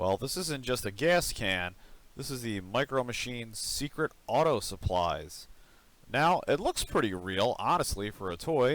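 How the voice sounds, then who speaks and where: The recording is very clean, with a silent background. A man speaks at a moderate pace with very wide pitch swings. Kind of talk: toy review, casual talk to camera.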